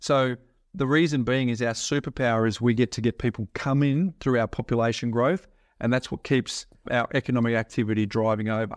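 Against a quiet background, a man with an Australian accent talks at a medium pitch with ordinary pitch variation. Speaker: property investment adviser. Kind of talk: interview.

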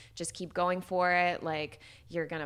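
A woman with an American accent and an unremarkable speaking voice talks at a moderate pace with a fairly low pitch and fairly even intonation, in a very clean recording with a silent background. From US Midwest, Chicago. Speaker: social media content creator and army veteran. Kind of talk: casual interview chat.

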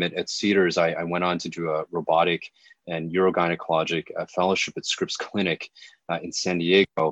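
A man speaks in a very deep, low voice with an American accent and flat, monotone intonation. The sound is dry and close, with no echo. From Southern California. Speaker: gynecologic surgeon. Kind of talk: interview. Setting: phone call. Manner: repeats words often.

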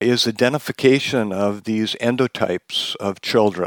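In an American accent, the speaker talks at a fairly slow pace with ordinary pitch variation, recorded very cleanly against a silent background with a dry, close sound and no echo. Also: man. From Wisconsin, US Midwest. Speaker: pediatric intensive care physician and professor. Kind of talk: interview, medical discussion. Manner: hesitant, many filler words.

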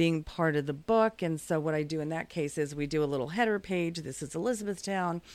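On a very clean recording with a silent background, a woman speaks in a plain, everyday voice at a fairly low pitch, with ordinary pitch variation, a fairly quick pace and hardly any pauses. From no fixed origin, US military family. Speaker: small business owner and publisher. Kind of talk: casual interview.

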